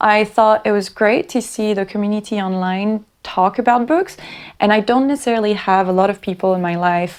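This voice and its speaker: With a French accent, a woman talks at a medium pitch and moderate pace with ordinary pitch variation, recorded very cleanly over a silent background. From France. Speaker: booktuber. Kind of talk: casual vlog monologue.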